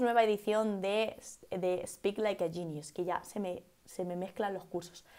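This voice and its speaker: A woman talks in a Castilian accent with an animated tone. Her pace is moderate and the background is quiet. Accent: Castilian Spanish (central Spain). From Spain, Cuenca; Spain. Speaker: English teacher. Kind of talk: live-stream English lesson. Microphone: earbuds.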